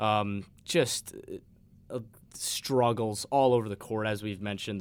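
A man with an American accent talks at a fairly low pitch and fairly slow pace in an unremarkable speaking voice. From Long Island, New York. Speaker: student sports broadcaster, guest pundit. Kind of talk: sports talk radio discussion. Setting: radio studio.

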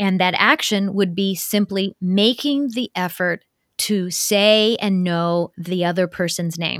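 Very slowly, a woman speaks with a Midwestern American accent in a very clean, silent recording with a dry, close sound and no echo. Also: medium pitch for a woman, ordinary pitch variation. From US Midwest, Ohio. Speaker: cross-cultural consultant and author. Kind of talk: interview conversation.

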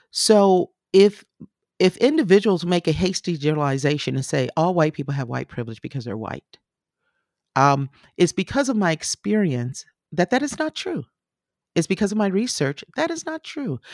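A woman's fairly low voice with very wide pitch swings at a moderate pace, in a dry, close sound with no echo. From grew up moving with US military, incl. Germany. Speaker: professor and journalist. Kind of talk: interview.

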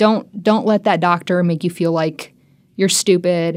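An ordinary speaking voice moves at a moderate pace with ordinary pitch variation, in a very clean recording with a silent background. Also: woman. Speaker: medical student and patient. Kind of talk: personal testimony.

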